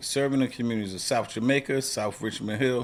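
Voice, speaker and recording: A man with an American accent has an unremarkable speaking voice, medium pitch, a moderate pace and fairly even intonation. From Queens, New York. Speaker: retired police officer and podcast host. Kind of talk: podcast intro.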